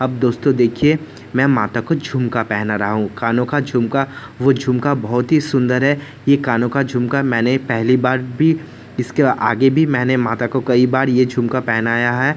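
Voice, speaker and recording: With noticeable background noise behind him, a man speaks at a medium pitch in a monotone, flat intonation. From West Bengal, India. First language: Bengali (speaking Hindi). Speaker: devotional vlogger. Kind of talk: home worship tutorial vlog.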